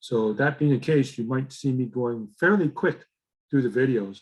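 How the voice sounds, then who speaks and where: At a moderate pace, a man with a medium pitch speaks in an ordinary speaking voice. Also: ordinary pitch variation. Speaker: teacher. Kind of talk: casual lecture.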